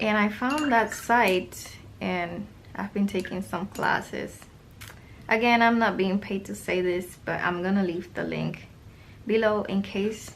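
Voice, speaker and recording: A woman with a non-native accent speaks at a medium pitch and a fairly slow pace, with ordinary pitch variation. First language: not English. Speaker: art YouTuber and online art teacher. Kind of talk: casual product review while swatching paints. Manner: casual, meandering with fillers.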